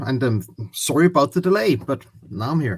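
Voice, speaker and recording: A man's voice carries vocal fry. His pitch swings very widely. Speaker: guest.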